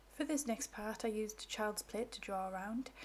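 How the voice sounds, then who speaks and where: Somewhat breathy, a woman speaks at a moderate pace with a fairly high pitch. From northeast England. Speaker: crafter / craft YouTuber. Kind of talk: craft tutorial.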